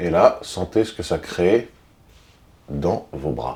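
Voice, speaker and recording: Calm in tone, a man speaks with a very deep, low pitch and vocal fry. His voice is dark and mellow. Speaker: body movement instructor. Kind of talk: guided exercise class. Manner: heavy audible breathing; calm, unhurried.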